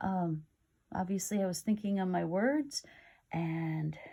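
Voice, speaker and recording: A woman's dark, mellow voice, somewhat breathy. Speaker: lifestyle vlogger. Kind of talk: casual vlog talk. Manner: hesitant, filler words.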